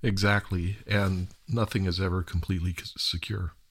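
The recording is very clean, with a silent background. A man speaks with a very deep pitch, somewhat breathy and with fairly even intonation. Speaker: podcast host. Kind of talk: interview conversation. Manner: filler-heavy, hesitant.

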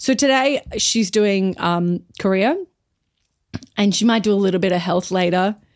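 Delivered at a moderate pace in an Australian accent, the speech has very even loudness, ordinary pitch variation, and long, frequent pauses. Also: woman, medium pitch for a woman. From Brisbane, Australia. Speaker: actor and comedian. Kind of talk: casual chat.

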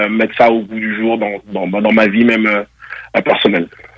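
At a fairly slow pace, a man speaks. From France and Togo. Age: 30s. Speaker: boxer and former football player. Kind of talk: radio interview.

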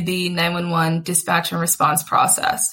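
A woman speaks with an American accent and a bright, sharp tone. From Atlanta, US South. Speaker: startup founder. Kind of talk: interview.

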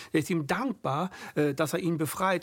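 Vocal fry runs through a man's voice as he talks at a fairly quick pace. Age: 50s. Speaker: podcast host. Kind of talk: interview.

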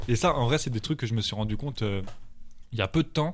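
A man's voice is heard. The background is silent on this very clean recording. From Paris. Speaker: music producer. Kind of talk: casual chat. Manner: animated.

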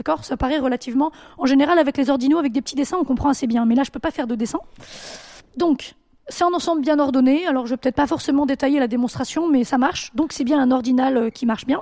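A woman with a high pitch and a dark, mellow tone talks at a very fast pace with ordinary pitch variation. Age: 30s. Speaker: quantum computing researcher and juggler. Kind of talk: casual chat.

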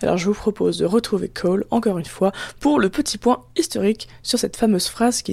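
This woman has a fairly high voice with vocal fry and a dark, mellow tone, speaking at a fairly quick pace with lively intonation. The sound is dry and close, with no echo. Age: 20s. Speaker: student podcast host. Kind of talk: casual narration; casual interview.

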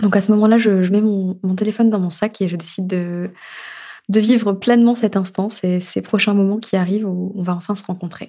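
Over a silent background on a very clean recording, a woman with a dark, mellow tone and medium pitch talks fairly quickly in a flat monotone. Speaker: storyteller, narrating her own story. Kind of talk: personal testimony narration. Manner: halting, repeated words.

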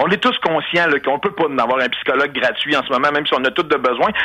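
With a Quebec accent, a man races along at a very fast pace, his bright, sharp tone carried by lively intonation. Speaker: radio columnist and former mayoral candidate. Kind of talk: testimony.

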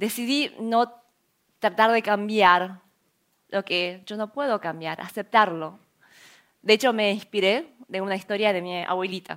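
A woman's medium-pitched voice at a fairly slow pace, with ordinary pitch variation and long, frequent pauses. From Argentina, Buenos Aires. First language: Korean (speaking Spanish). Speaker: entrepreneur and scientist giving a talk. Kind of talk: conference talk.

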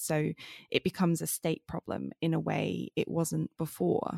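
A woman's voice comes through dry and close with no echo on a very clean recording with a silent background. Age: 30s. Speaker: literature researcher, podcast co-host. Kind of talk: casual academic chat.

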